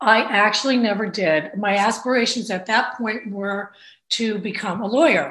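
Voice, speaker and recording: With an American accent, a woman speaks at a moderate pace and a fairly high pitch, with ordinary pitch variation. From New Jersey, Bayonne (Hudson County). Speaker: state legislator. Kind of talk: interview.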